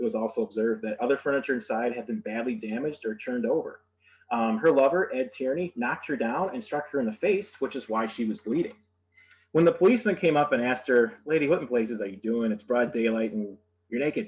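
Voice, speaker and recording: Speaking at a very fast pace, a man with an Upper Midwest accent holds a medium pitch. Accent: Upper Midwest American. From Michigan (Saginaw). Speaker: museum educator giving history tour. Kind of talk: virtual history tour presentation. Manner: hesitant, many fillers.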